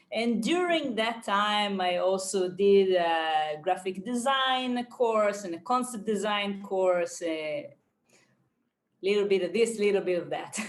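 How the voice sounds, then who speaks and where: A woman with an Israeli accent, ordinary pitch variation and a very slow pace. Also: medium pitch for a woman. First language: Hebrew. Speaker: painter and art teacher. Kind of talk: podcast interview. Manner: halting, many fillers and repeats.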